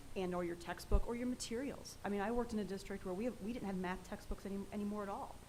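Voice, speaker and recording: Amid audible room echo, a woman of medium pitch speaks at a very fast pace. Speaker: education department official presenting standards. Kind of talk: presentation and Q&A at board meeting.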